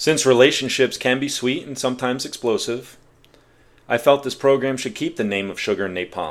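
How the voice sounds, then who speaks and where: The voice is an unremarkable speaking voice with ordinary pitch variation. It moves at a fairly quick pace. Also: man, medium pitch for a man. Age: 40s. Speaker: podcast host. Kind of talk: solo podcast monologue.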